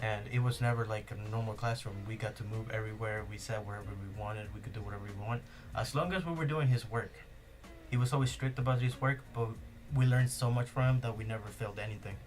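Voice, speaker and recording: Music plays behind a man who talks very fast at a medium pitch with fairly even intonation. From Spanish-speaking country, partly raised in Spain. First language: Spanish. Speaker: podcast co-host. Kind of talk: casual chat.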